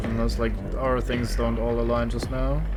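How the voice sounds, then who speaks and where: A man with a slight German accent speaks in a monotone, flat intonation. The room echo is audible and background noise is noticeable. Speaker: streamer. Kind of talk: live gameplay commentary. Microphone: poor audio balance at start.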